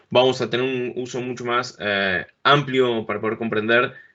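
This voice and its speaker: A man in a monotone, with flat intonation. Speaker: conference speaker on business software. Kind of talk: technical presentation. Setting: remote talk at a conference event.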